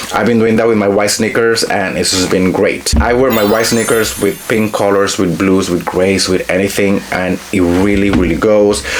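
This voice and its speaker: Amid noticeable background noise and audible room echo, a man with a Spanish accent speaks at a moderate pace and a fairly low pitch, with hardly any pauses and very even loudness. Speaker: fashion influencer. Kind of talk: product review haul. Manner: animated.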